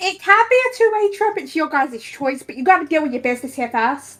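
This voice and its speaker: In a squeaky, put-on character voice, a woman speaks at a fairly quick pace with a high pitch and very wide pitch swings over faint music in the background. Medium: actual play. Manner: casual, easygoing.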